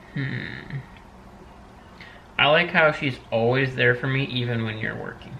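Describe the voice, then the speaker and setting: The speech is fairly slow, with long, frequent pauses. Background noise is noticeable. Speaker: host's fiance, podcast guest. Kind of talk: casual chat. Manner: playful.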